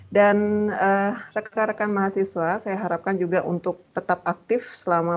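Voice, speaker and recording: A woman speaks in a normal speaking voice at a moderate pace, her medium pitch carrying fairly even intonation against a quiet background. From Bali, Gianyar. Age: 30s. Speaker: university lecturer. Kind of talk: lecture.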